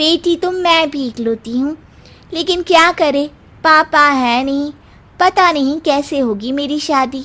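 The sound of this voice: A woman puts on a cartoonish character voice, pitched high. She speaks at a fairly slow pace with ordinary pitch variation.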